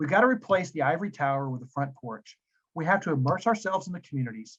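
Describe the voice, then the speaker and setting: A man with a Tennessee accent speaks at a very fast pace. His fairly high voice is somewhat breathy, with lively intonation. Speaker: business school dean. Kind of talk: webinar presentation. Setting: video webinar.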